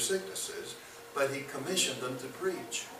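Light background noise and audible room echo surround a man speaking with an American accent. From US South, Birmingham, Alabama. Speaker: bible teacher. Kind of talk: lecture. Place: classroom. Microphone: camera far.

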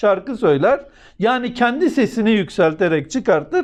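Lively intonation runs through this man's speech. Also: quiet background. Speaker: religious commentator. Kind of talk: religious talk.

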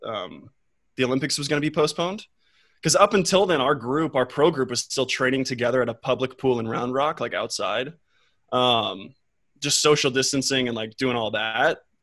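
An American-accented man talks at a moderate pace with ordinary pitch variation, his voice dry with no echo against a quiet background. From Texas, Austin; Texas. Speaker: competitive swimmer; guest. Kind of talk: casual chat. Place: home room. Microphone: studio mic.

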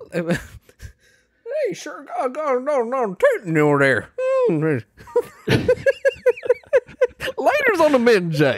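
A put-on character voice moves at a very slow pace, with long, frequent pauses. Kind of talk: folksy, casual.

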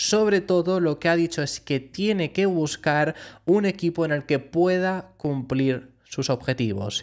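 Pitch variation is ordinary and the pace fairly slow. The recording is very clean, with a silent background. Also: man, high pitch for a man. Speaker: Formula 1 YouTuber. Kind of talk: news commentary.

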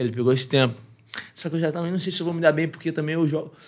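A man speaks at a very fast pace. His pitch sits fairly high. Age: 30s. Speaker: podcast guest. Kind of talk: casual chat. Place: studio. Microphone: studio mic.

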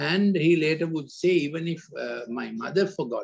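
At a fairly slow pace, a man with a high-pitched voice talks with ordinary pitch variation against a quiet background. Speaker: preacher or talk giver. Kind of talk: sermon. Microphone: video call.

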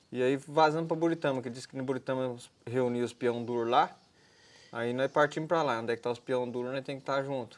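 The pace is very fast as this man talks. His intonation holds fairly even. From Brazil, Paraná and Mato Grosso; Brazil. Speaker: retired bull rider; guest. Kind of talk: interview. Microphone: lapel.

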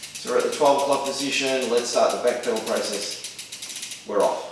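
Heard with strong room echo, a man speaks at a moderate pace in a medium pitch with ordinary pitch variation.

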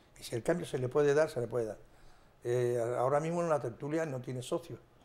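Speaking at a fairly quick pace, this voice carries a dark, mellow tone and ordinary pitch variation. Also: man. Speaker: flamenco club president; TV talk show guest. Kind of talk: interview. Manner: halting. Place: studio. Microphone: lapel.

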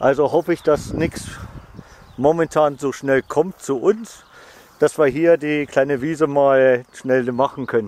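This man speaks at a very slow pace with ordinary pitch variation. The sound is dry, with no echo. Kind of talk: casual vlog chat. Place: open country. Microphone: phone near.

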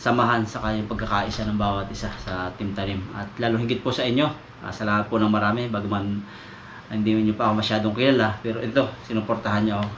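A man speaks at a medium pitch and a fairly quick pace with monotone, flat intonation. Audible room echo and noticeable background noise surround him. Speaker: vlogger. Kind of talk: casual vlog narration. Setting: outdoors by a river.

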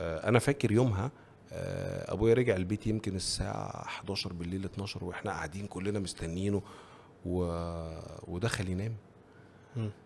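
Over light background noise, a man with a fairly low pitch speaks at a moderate pace with fairly even intonation and long, frequent pauses. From Egypt. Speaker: education entrepreneur. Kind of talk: casual interview. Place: studio. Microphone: studio mic.

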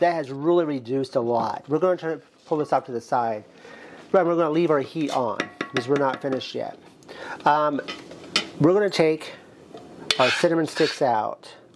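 A man talks fairly fast, his pitch moving in an ordinary way, while noticeable noise sits in the background. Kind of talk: tutorial. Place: kitchen.

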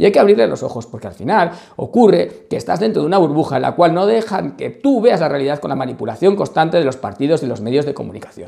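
Noticeable background noise sits under a man talking at a very fast pace. His fairly high pitch makes very wide swings. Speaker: lawyer and political commentator. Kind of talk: political commentary vlog.

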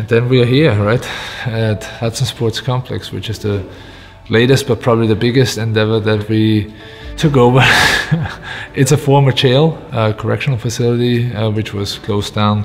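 The intonation stays fairly even at a moderate pace. Faint music plays in the background. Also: man. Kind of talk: interview answer. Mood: reflective, warm, some laughter. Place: home room. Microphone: lapel.

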